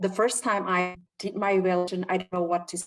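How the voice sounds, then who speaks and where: Medium-pitched female speech with a non-native accent. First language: not English. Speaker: club member presenting Q&A. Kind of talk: Q&A session at a speaking club meeting. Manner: halting, many fillers.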